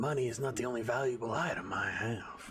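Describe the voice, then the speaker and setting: Doing a gruff put-on character voice, a man at medium pitch talks at a fairly quick pace with fairly even intonation. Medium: actual play. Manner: gruff, grimy.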